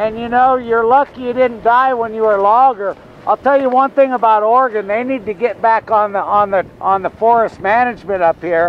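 The speech moves at a fairly quick pace with hardly any pauses. The sound is dry with no echo, and there is light background noise. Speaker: interviewer. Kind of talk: casual interview talk. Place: open country. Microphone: phone near.

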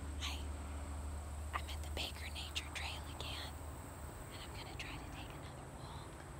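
A woman speaks at a moderate pace, leaving long, frequent pauses. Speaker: vlogger. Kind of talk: ASMR nature walk. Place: forest. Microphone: phone near.

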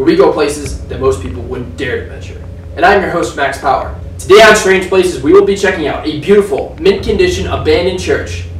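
A man talks at a fairly quick pace with big swings in loudness. Audible room echo and light background noise are present. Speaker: channel host. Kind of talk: scripted video intro. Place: home room.

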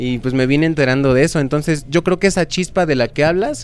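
The recording of this man is dry, with no echo. His pitch varies in an ordinary way. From Mexico. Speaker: band vocalist; guest. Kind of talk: interview. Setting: record shop venue. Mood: relaxed, reflective. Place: studio. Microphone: handheld.

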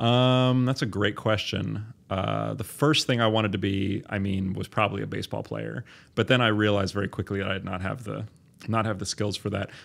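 With an American accent, a man uses an ordinary speaking voice, fairly low in pitch, delivered at a fairly quick pace with fairly even intonation. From US Northeast. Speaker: biology professor. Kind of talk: interview.

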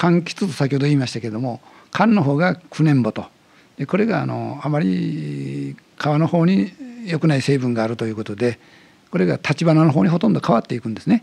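A man speaks at a fairly quick pace. His pitch swings very widely. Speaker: museum director. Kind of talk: interview, explanatory talk. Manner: animated, talkative. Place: studio. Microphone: studio mic.

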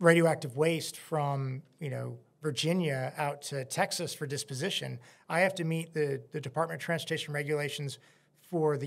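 A man's voice, somewhat breathy. His intonation stays fairly even. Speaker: podcast guest. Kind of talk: interview answer. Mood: calm, explanatory. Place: studio. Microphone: studio mic.

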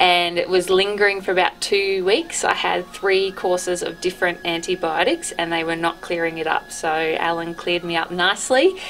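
Over faint background music, a woman talks at a moderate pace with fairly even intonation. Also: fairly low pitch for a woman. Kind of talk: interview answer. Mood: relaxed, cheerful.

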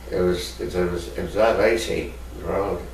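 There is audible room echo and light background noise as a man speaks. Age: 80s+. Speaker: retired ice hockey player. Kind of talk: oral history interview. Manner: halting. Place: home room. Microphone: camera far.

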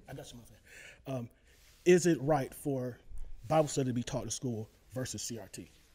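Speaking at a moderate pace with an American accent, a man has a dark, mellow, somewhat breathy tone, ordinary pitch variation, big swings in loudness and long, frequent pauses. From Texas. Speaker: audience member asking a question; audience member. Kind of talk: audience question. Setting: live event with microphone. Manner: halting. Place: meeting room.

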